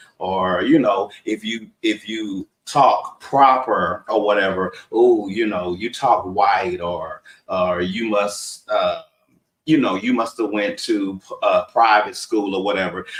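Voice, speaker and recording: A man speaks in a Southern US accent. His pace is very slow. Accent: Southern US country. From Texas. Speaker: talk show co-host. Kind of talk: casual discussion.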